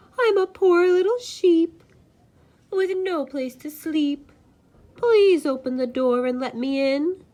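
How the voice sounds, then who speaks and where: A woman uses a put-on character voice with an extremely high pitch. She speaks at a fairly slow pace with long, frequent pauses. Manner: sweet, coaxing.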